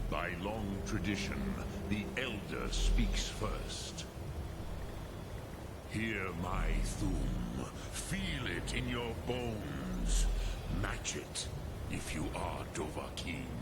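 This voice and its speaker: A man speaks in a put-on character voice at a very slow pace. Loud background noise runs behind him. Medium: machinima. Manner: slow, grave, mixes dragon words into speech.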